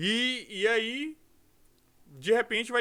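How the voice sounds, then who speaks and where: A man's raised, projected voice, bright and sharp, with ordinary pitch variation, in a very clean recording with a silent background. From Brazil, Rio de Janeiro. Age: 40s. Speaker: pastor. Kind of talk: podcast interview.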